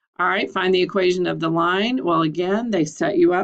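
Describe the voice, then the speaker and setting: A woman speaks with a fairly low pitch and vocal fry. The background is quiet. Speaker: math instructor. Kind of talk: tutorial.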